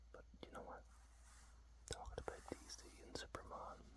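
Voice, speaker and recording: The speaker has a relaxed tone and a moderate pace. Noticeable background noise runs underneath. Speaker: ASMR content creator. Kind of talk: ASMR whispered talk to camera about a comic. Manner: whispered, relaxed.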